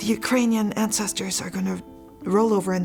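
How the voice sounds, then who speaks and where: Over music in the background, a woman is talking. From Germany. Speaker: folk artist, egg decorating teacher. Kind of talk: interview answer.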